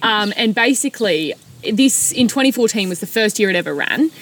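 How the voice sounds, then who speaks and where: A woman speaks with an Australian accent and lively intonation at a moderate pace. Noticeable background noise sits behind her. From rural New South Wales, Australia. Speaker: non-profit CEO. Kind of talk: interview. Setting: outdoors in the back of a ute.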